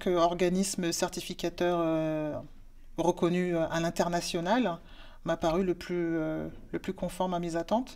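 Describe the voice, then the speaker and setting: A woman's fairly low voice at a very slow pace. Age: 40s. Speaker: work-study student. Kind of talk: testimony. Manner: halting, many hesitations. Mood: calm, earnest. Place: office. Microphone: lapel.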